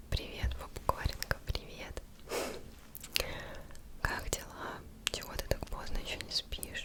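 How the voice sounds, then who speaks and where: A woman's whispering at a very slow pace, gentle in tone, with long, frequent pauses over noticeable background noise. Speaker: ASMR creator. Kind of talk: ASMR role-play personal attention. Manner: whispered, soft-spoken, gentle.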